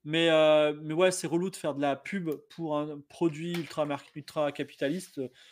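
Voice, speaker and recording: A man speaks at a fairly slow pace in a fairly high pitch, with a flat, monotone delivery. The recording is very clean, with a silent background. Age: 40s. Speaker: game master and game designer. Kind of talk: casual chat.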